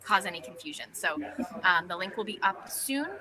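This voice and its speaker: Noticeable background noise is present. Over it, a woman talks. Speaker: patient advocacy organization leader. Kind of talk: live webinar update. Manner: fast.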